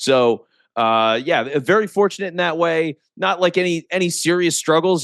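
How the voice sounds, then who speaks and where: Against a quiet background, a man with an American accent speaks with lively intonation, the sound dry and close with no echo. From US, Philadelphia area (Delaware County). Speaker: podcast producer, former radio broadcaster. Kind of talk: interview conversation.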